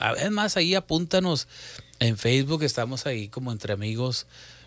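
In a very clean recording with a silent background, a man speaks at a fairly quick pace. His pitch sits in the medium range but swings very widely. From Mexico, Matamoros, Tamaulipas. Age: 40s. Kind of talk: religious talk show chat.

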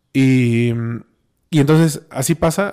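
A man with a Mexican accent speaks in a dark, mellow tone with ordinary pitch variation. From Mexico, Oaxaca. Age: 30s. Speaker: musician, pianist. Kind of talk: casual chat.

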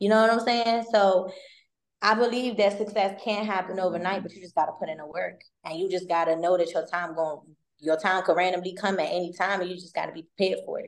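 Talking at a very fast pace in an American accent, the speaker keeps fairly even intonation while the loudness swings widely. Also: woman, medium pitch for a woman. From Maryland. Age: 20s. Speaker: credit repair consultant and realtor. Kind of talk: casual interview.

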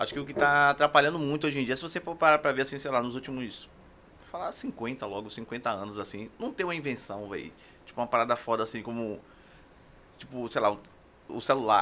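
The tone is bright and sharp, the pace fairly quick with long, frequent pauses, and the pitch varies in an ordinary way. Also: man, medium pitch for a man. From Brazil, Castelo Branco. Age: 50s. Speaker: tattoo artist and musician. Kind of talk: casual chat.

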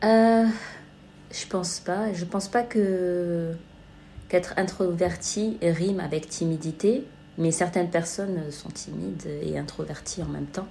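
A woman speaks very slowly with a dark, mellow, somewhat breathy tone and a fairly low pitch, leaving long, frequent pauses. Her intonation is fairly even, and audible room echo surrounds her. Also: big swings in loudness. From southern France, Marseille. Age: 30s. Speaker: podcast guest. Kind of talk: casual chat. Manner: halting, many hesitations.

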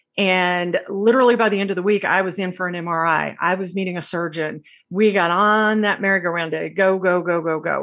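Against a quiet background, a woman with an American accent speaks fairly quickly in an ordinary speaking voice, at a medium pitch with fairly even intonation. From Texas. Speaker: podcast host. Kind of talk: casual chat.

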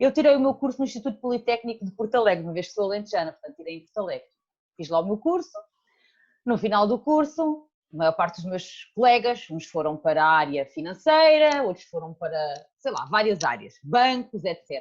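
Fairly high in pitch, a woman speaks at a fairly quick pace. Her voice swings very widely in pitch and greatly in loudness. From Portugal, Alentejo. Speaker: bookkeeping consultant. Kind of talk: casual interview.

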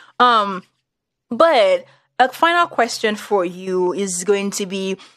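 Speaking at a fairly slow pace with a Nigerian accent, a woman's medium-pitched voice comes through on a very clean recording with a silent background. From Nigeria, Yoruba. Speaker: podcast host. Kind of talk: casual conversational chat.

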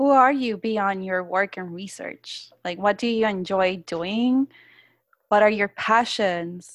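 Very slow speech from a woman in a Spanish accent, medium pitch and ordinary pitch variation, on a very clean recording with a silent background. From Puerto Rico. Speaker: podcast host. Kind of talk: interview.

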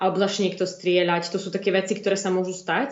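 This woman's voice sits at a medium pitch. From eastern Slovakia, Stará Ľubovňa. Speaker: EU parliament staffer. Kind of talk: interview.

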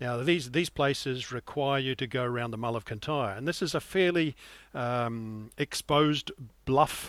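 The speaker has a New Zealand accent. The sound is dry and close with no echo, on a very clean recording with a silent background. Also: man, medium pitch for a man, ordinary pitch variation, moderate pace. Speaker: sailing guide editor and yacht skipper. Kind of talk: interview.

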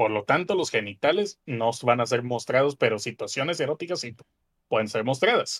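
A man with an unremarkable speaking voice talks at a medium pitch and a moderate pace. His intonation is lively, and the sound is dry and close with no echo. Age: 20s. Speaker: podcast co-host. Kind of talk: casual chat.

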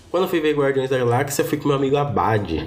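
Audible room echo is present. Within it, a man speaks at a very fast pace. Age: 20s. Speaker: podcast host. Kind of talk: personal monologue, casual.

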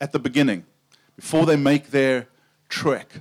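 A man speaks with a South African accent. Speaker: preacher. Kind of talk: sermon. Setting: tent with audience.

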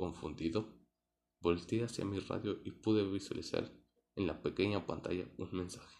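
A man speaks at a moderate pace with fairly even intonation. His pitch is very deep and low. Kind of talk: scripted horror narration, first-person ghost story. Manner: suspenseful, hushed, building tension.

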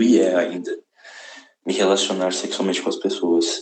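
A man speaks at a fairly slow pace. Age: 20s. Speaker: actor sending voice message. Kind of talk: recorded voice message.

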